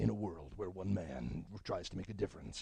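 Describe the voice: Putting on a character voice, a man delivers a menacing, dramatic tone in a very deep, low register at a fairly quick pace.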